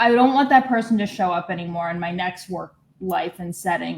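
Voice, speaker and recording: A woman talks at a moderate speed, her voice somewhat breathy and her intonation lively. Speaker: group participant. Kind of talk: casual chat.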